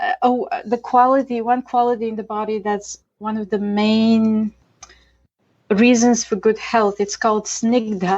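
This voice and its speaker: A woman's fairly high voice with a Bulgarian accent and ordinary pitch variation. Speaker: Ayurvedic chef and educator. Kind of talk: interview. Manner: hesitant with fillers.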